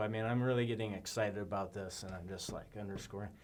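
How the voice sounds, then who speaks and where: A man is speaking. His voice sits at a fairly low pitch. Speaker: presenter practicing on camera. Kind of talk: practice presentation on camera. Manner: varying loudness deliberately; monotone.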